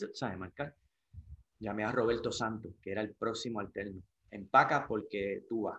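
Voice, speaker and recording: An unremarkable speaking voice comes from a man. His pitch is fairly low and his intonation fairly even. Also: moderate pace. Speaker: surfer and surf brand sales representative. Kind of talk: interview. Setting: at his home.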